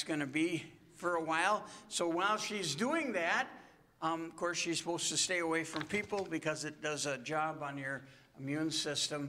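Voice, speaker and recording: Here a man talks at a moderate pace with a high pitch. His pitch varies in an ordinary way. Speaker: pastor. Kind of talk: church announcements and prayer requests. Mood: gentle, pastoral, somber update. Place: church.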